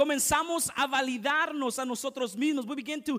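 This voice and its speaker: Against a quiet background, a man with an extremely high pitch and a bright, sharp tone uses a raised, projected voice at a fairly slow pace. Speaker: pastor. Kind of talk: fervent bilingual sermon, lines echoed in English and Spanish. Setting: church. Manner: punctuates lines with repeated amens, calling for congregation response. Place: church.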